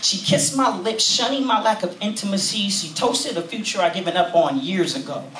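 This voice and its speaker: The pace is fairly quick, with audible room echo and light background noise. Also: man. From California. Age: 20s. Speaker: spoken word poet. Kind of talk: spoken word performance. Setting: stage with audience. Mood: intimate, reflective. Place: cafe.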